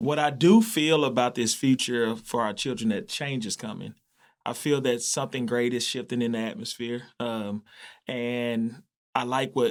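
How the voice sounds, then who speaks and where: A man with an American accent talks at a moderate pace and a medium pitch, with ordinary pitch variation. The recording is very clean, with a silent background. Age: 40s. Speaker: community leader, business owner. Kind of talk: interview chat.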